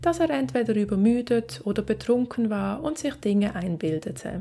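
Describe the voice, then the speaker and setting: This woman's voice sits at a medium pitch and moves at a moderate pace. Her pitch swings very widely. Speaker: true crime narrator. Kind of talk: true-crime storytelling narration. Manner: measured, suspenseful storyteller; conversational, directly addressing viewers.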